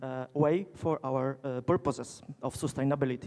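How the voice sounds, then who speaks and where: A man with a Polish accent at a moderate pace. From Poland. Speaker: geologist, keynote speaker. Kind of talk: conference keynote lecture. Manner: halting, many fillers.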